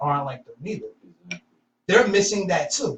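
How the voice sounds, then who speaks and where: With a bright, sharp tone, a man talks in a raised, projected voice. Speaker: podcast co-host. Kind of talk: casual discussion. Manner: loud.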